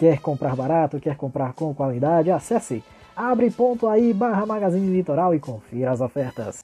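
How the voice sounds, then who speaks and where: Over music in the background, a man speaks at a moderate pace in an upbeat tone with very wide pitch swings. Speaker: radio announcer. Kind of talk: radio music show hosting. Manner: upbeat, friendly.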